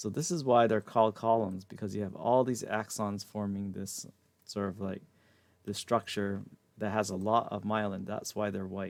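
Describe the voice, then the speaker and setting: This man has an ordinary speaking voice, delivered at a moderate pace with fairly even intonation. The recording is very clean, with a silent background. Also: fairly low pitch for a man. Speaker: anatomy and physiology instructor. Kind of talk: lecture. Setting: live stream with chat.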